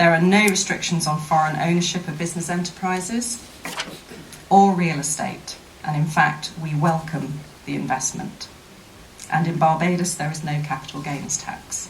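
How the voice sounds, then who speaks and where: With a British accent, a woman speaks at a moderate pace in a fairly low pitch with fairly even intonation, over noticeable background noise and audible room echo. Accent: very British. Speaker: investment promotion official. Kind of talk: formal speech at a seminar. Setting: seminar with audience. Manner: formal.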